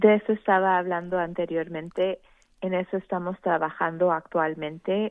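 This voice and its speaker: Her pitch fairly low, a woman speaks in a monotone with flat intonation. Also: moderate pace. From Mexico, Veracruz and Mexico City. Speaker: elected water board member. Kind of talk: radio interview.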